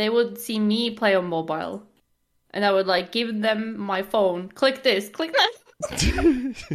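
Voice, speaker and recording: Speaking at a very slow pace in a Norwegian accent, a woman uses lively intonation and a fairly high pitch. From Norway. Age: 20s. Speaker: gamer and streamer. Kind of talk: casual chat.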